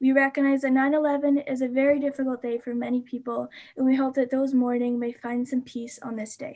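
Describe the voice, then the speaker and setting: Talking at a fairly quick pace with hardly any pauses, a woman with a Canadian accent uses a high pitch and a dark, mellow tone in monotone, flat intonation over a quiet background. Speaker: youth climate activist. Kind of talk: livestream presentation. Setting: live stream. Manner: fast.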